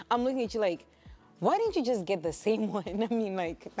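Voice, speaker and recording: Over music in the background, a woman speaks at a very fast pace with ordinary pitch variation. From Africa. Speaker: talk show co-host. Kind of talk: casual chat. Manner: fast when agitated.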